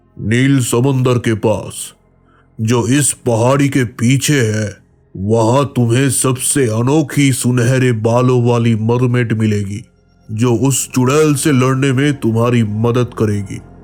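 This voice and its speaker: Over faint music in the background, a man in a cartoonish character voice speaks at a very slow pace with a medium pitch and fairly even intonation. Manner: calm, solemn.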